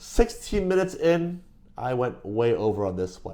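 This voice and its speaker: This man's fairly high voice swings very widely in pitch, with a dark, mellow tone. He speaks at a moderate pace. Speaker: video host.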